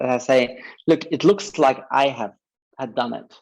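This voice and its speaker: A man speaks in a German accent at a moderate pace. His pitch is fairly high. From Germany. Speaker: advertising creative director. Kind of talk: interview. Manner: halting.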